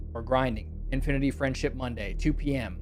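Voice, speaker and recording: A man talks at a fairly quick pace. Music plays in the background, and the room echo is audible. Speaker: gaming streamer. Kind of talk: casual live stream sign-off.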